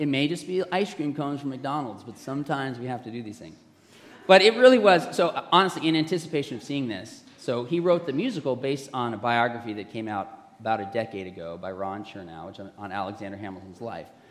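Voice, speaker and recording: A man speaks at a very fast pace with a medium pitch and very wide pitch swings. The room gives off an audible echo. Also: big swings in loudness. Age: 50s. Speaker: pastor. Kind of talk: sermon.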